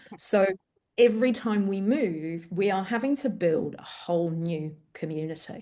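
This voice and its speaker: A woman of medium pitch with an English accent, a dark, mellow tone, lively intonation and a moderate pace. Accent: English-sounding. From Greece, Athens. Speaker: parent coach, former teacher. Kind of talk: interview.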